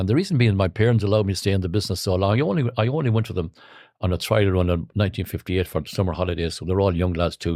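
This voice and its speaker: A man in a western Irish accent speaks very fast with very even loudness, his pitch fairly low and his tone dark and mellow. The background is quiet. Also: ordinary pitch variation. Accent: Irish (west of Ireland). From Ireland, County Roscommon. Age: 80s+. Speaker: trumpet player, showband musician. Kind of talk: casual interview chat. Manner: halting, with repeated false starts.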